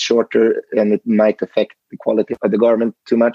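A man speaks at a moderate pace with a Swedish accent. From western Sweden, near Gothenburg. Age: 40s. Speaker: fashion company CEO. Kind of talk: interview.

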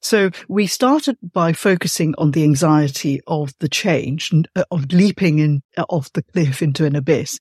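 A woman talks at a moderate pace with hardly any pauses, her very deep, low pitch showing ordinary variation. Her voice is somewhat breathy, and the sound is dry and close with no echo. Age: 50s. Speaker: podcast host and writer. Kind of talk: interview conversation.

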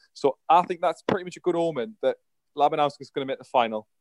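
A very fast pace with ordinary pitch variation. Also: man. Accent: British. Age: 20s. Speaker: darts pundit. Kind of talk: casual chat.

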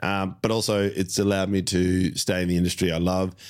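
In an Australian accent, a man speaks with a very deep, low pitch on a very clean recording with a silent background. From Melbourne, Australia. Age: 40s. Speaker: comedian. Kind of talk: casual chat. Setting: studio.

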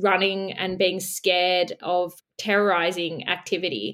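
Speaking in an Australian accent, a woman uses a medium pitch. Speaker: editor. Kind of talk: casual chat.

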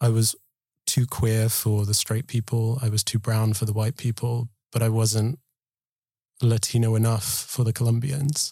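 A man's dark, mellow voice, somewhat breathy and monotone with flat intonation, holds a very even loudness in a dry, close sound with no echo. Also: medium pitch for a man, moderate pace. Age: 20s. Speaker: collective member, storyteller. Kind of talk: scripted narration.

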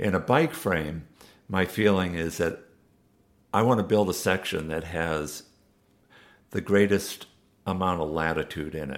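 A fairly slow New England accent over a silent background in a very clean recording, with ordinary pitch variation and long, frequent pauses. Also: man, very deep, low pitch for a man. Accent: New England American. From Massachusetts, US. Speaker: bike designer and manufacturer. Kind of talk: interview. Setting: bike shop in London.

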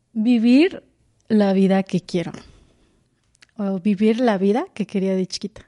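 With long pauses coming often, a woman speaks fairly slowly in a mid-range pitch that varies in an ordinary way. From Mexico, Morelos (Jiutepec). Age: 20s. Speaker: stage actress. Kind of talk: casual interview chat.

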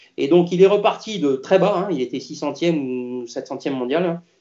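A man talks with ordinary pitch variation. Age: 50s. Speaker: tennis coach. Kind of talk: interview. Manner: halting.

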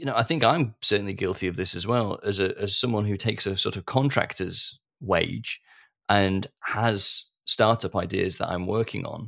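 In a very clean recording with a silent background, a man with a normal speaking voice talks at a moderate pace with ordinary pitch variation. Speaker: podcast host. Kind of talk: interview.

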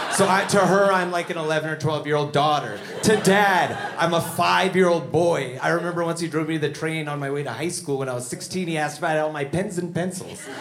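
A man's fairly high voice at a fairly quick pace, with hardly any pauses, fairly even intonation and noticeable background noise. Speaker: stand-up comedian. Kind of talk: comedy show with banter.

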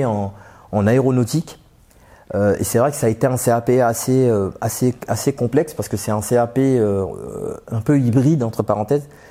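A dark, mellow tone at a fairly slow pace with ordinary pitch variation. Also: man. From Paris suburbs (Aubervilliers, Seine-Saint-Denis). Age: 30s. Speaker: aircraft mechanic, former bus driver. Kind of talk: interview testimony. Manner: halting, many fillers and repetitions.

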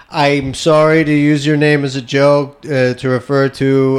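A man with a Canadian accent and a medium pitch talks at a moderate pace in a monotone, flat way, with noticeable background noise. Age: 30s. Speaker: podcast host and stand-up comedian. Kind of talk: casual chat.

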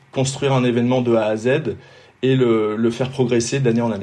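Medium-pitched male speech with fairly even intonation and audible room echo. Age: 50s. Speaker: triathlon race organizer, former pro cyclist. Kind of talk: casual interview. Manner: halting, frequent repetitions.

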